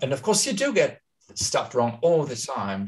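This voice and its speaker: Speaking at a moderate pace, a man talks with a German accent. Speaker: astrologer and translator. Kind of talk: interview on a live video talk.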